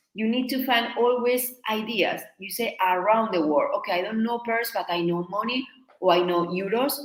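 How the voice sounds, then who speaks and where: A woman with a Spanish accent, fairly high in pitch, at a moderate pace with ordinary pitch variation. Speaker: Spanish teacher. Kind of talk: live online lesson.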